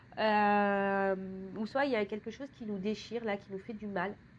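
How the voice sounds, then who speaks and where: With a fairly high pitch, a woman speaks at a fairly slow pace in a monotone, flat intonation. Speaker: tarot reader. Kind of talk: tarot reading. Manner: stammering, hesitant.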